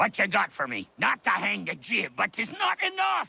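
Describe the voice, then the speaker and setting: A man's raspy, put-on character voice at a moderate pace, with a dry, close sound and no echo. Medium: video game. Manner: sly, teasing.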